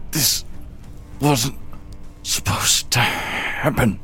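A put-on character voice in a whisper at a very slow pace, with faint music in the background. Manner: speaking through clenched teeth.

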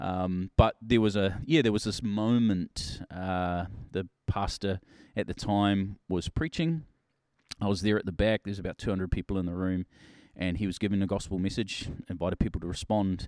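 This man has a New Zealand accent and a fairly low pitch. The recording is very clean with a silent background and a dry, close sound with no echo. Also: ordinary pitch variation, moderate pace. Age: 40s. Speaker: pastor. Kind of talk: casual chat.

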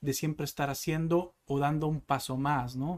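A man with a fairly high pitch keeps a fairly even intonation in a very clean recording with a silent background. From Mexico, northwest (Sonora/Baja California). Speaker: salesman. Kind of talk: interview.

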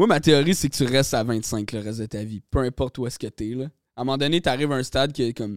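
The speech runs at a very fast pace with ordinary pitch variation, in a dry, close sound with no echo on a very clean recording with a silent background. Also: man, medium pitch for a man. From Quebec, Lanaudière region. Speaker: rapper. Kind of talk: casual chat.

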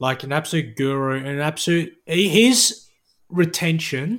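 Australian-accented speech from a man, very clean recording and silent background. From Perth, Western Australia. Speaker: sports writer. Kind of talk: interview.

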